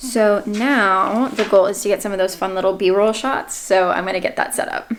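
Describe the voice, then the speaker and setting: A woman's voice with an American accent, at a moderate pace with ordinary pitch variation, amid noticeable background noise. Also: medium pitch for a woman. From United States. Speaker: online English teacher and vlogger. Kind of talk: casual vlog. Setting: home, in her room. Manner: casual, filler-heavy.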